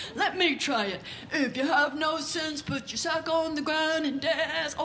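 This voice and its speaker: A woman uses a put-on character voice at a moderate pace. Background noise is clear. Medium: stage play.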